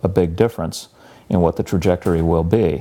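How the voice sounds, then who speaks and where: Ordinary pitch variation runs through this dark, mellow tone. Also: man. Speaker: college professor and environmental center director. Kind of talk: interview. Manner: soft-spoken; hesitant, many fillers.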